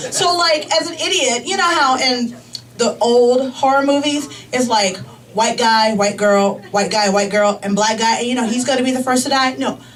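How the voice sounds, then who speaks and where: A woman with an American accent talks at a moderate pace, her high voice carrying lively intonation. Noticeable background noise and audible room echo fill the recording. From US Midwest, Chicago. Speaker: comedian. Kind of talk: stand-up. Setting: stage with audience. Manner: casual, filler-heavy.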